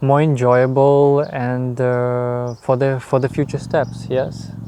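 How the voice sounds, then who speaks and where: With a Russian accent, a man speaks at a very slow pace in a medium pitch. His intonation is monotone and flat. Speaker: YouTuber. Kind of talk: interview answers. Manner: halting, many fillers.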